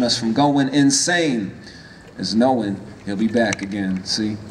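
Light background noise sits behind a man with an American accent whose intonation is fairly even. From US, Washington DC. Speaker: rapper. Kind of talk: spoken word performance. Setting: stage with audience. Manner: rhythmic. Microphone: handheld.

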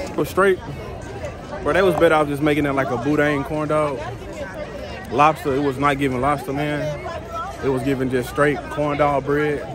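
Over crowd noise in the background, a man speaks at a moderate pace, his sound dry with no echo. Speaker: vlogger. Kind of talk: casual vlog chat. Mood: relaxed, joking. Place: street. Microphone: phone near.

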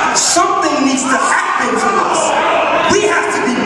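A man's voice comes through loud background noise and audible room echo. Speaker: church speaker delivering a spoken word message. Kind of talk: preaching, spoken word sermon to a congregation. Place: church. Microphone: pa.

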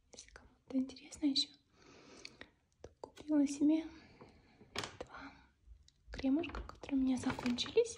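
A soft-spoken whisper moves at a fairly slow pace over noticeable background noise. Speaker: pet owner vlogger. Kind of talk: casual vlog chat. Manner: soft ASMR whisper. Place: home room. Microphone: phone near.

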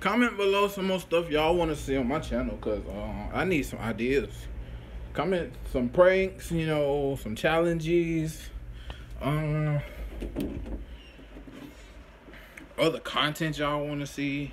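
A man talks at a fairly slow pace with ordinary pitch variation. His long, frequent pauses sit over light background noise. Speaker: vlogger. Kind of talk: casual vlog chat. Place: home room. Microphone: phone near.

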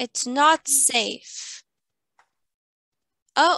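A woman's voice, dry with no echo, against a quiet background. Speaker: online English teacher. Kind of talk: online English lesson. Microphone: video call.

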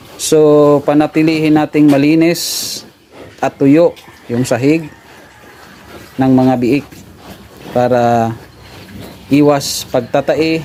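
A man talks at a very slow pace with fairly even intonation. Noticeable background noise is present. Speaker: pig farmer and vlogger. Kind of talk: tutorial. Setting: outdoors.

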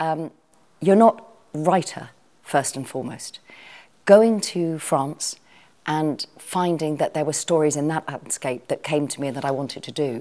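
In a very deep, low pitch and a dark, mellow tone, a woman talks at a fairly slow pace with long, frequent pauses. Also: ordinary pitch variation. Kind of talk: interview answer. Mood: warm, reflective. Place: home room. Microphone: lapel.

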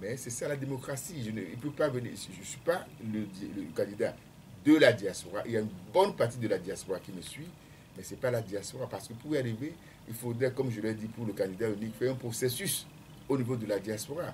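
Lively intonation and big swings in loudness mark this man's somewhat breathy, medium-pitched voice. Light background noise sits behind him. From Togo, Lacs prefecture; Togo. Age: 60s. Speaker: presidential candidate, economist; candidate. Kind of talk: radio interview. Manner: hesitant, many fillers. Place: studio. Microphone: studio mic.

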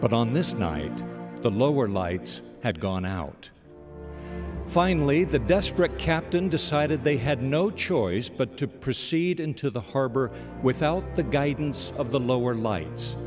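Music plays in the background as a man speaks at a medium pitch and a fairly slow pace. His pitch swings very widely. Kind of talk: spoken-word inspirational narration (radio devotional).

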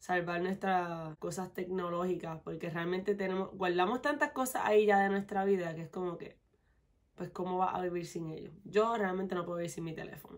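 A woman with a Puerto Rican accent speaks at a medium pitch and a fairly quick pace. The background is quiet. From Puerto Rico, west (Mayagüez); Puerto Rico. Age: 20s. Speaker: beauty vlogger. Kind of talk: casual Q&A vlog. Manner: animated. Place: home room.

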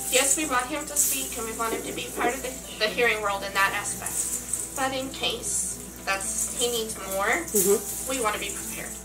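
A woman talks at a moderate pace with hardly any pauses. Noticeable background noise can be heard. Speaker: interviewee. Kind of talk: interview answer. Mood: earnest, recounting stress. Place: home room. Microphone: camera far.

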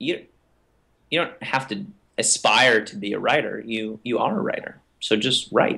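A man speaks at a fairly slow pace with an American accent. His tone is bright and sharp, and the background is quiet. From US South. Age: 20s. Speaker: writer and blogger. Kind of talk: interview. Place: home room. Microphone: webcam.

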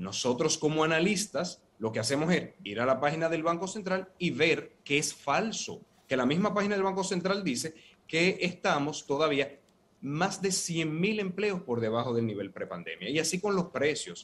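A man's fairly high voice with vocal fry, lively intonation and a moderate pace. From Dominican Republic. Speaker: opposition party vice president; guest. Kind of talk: political debate panel. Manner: measured, formal. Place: office. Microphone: earbuds.

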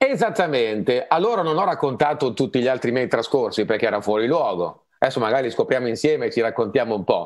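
A man's very fast, lively speech with hardly any pauses. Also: medium pitch for a man, quiet background. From Lombardy, Legnano. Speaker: singer and English pronunciation coach. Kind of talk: casual chat. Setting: video call. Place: home room. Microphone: earbuds.

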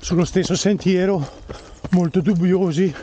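A man with a high-pitched voice talks at a fairly slow pace, the sound dry with no echo and light noise behind him. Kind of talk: casual vlog chat while running. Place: forest. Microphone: phone near.

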